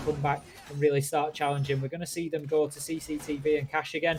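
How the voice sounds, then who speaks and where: Someone with a northern English accent speaks while music plays in the background. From northern England. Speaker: esports caster. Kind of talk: live commentary. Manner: animated.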